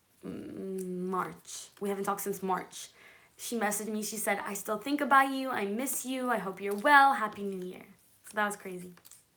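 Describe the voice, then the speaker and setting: A woman's medium-pitched voice, bright and sharp in tone, with big swings in loudness. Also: ordinary pitch variation, moderate pace. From Israel and California. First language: Hebrew. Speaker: manifestation and law of attraction YouTuber. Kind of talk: live stream chat with viewers. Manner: casual, chatty.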